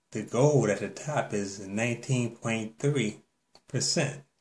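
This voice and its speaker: The voice is somewhat breathy and very slow-paced, with ordinary pitch variation. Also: man. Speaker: bible teacher. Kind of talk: bible teaching monologue.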